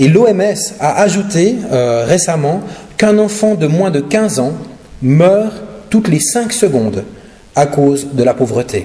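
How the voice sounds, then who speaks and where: A high-pitched man with a slight Swiss French accent, fairly slow pace and lively intonation, amid noticeable background noise and audible room echo. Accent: slight Neuchâtel Swiss French. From Switzerland, Neuchâtel region. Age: 40s. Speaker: pastor and charity speaker. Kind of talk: sermon and charity presentation. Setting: church. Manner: hesitant, many filler sounds.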